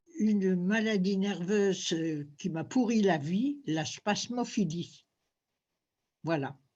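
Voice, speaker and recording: Against a quiet background, the speaker uses a dark, mellow, somewhat breathy tone with lively intonation, moving at a very slow pace with long, frequent pauses. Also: woman, medium pitch for a woman. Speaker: former fashion model. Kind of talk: interview. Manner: halting.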